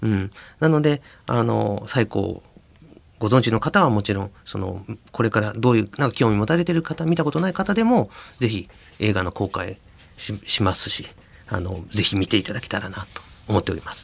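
A man with a plain, everyday voice talks at a fairly low pitch. His intonation is lively and his pace moderate. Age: 40s. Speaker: anime director. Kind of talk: casual chat.

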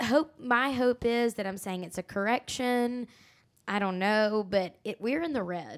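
On a very clean recording with a silent background, a woman with a plain, everyday voice and fairly high pitch speaks at a fairly slow pace with ordinary pitch variation. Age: 20s. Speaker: podcast host. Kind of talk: casual chat.

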